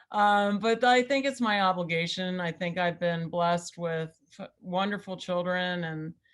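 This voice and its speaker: A woman speaks at a moderate pace in a medium pitch with ordinary pitch variation. It is an ordinary speaking voice. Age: 60s. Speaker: political campaign manager. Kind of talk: interview.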